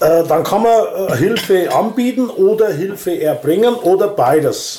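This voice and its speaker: A man is talking. His intonation is lively. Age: 60s. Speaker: volunteer organizer of a senior-help association. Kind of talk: casual interview. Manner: halting.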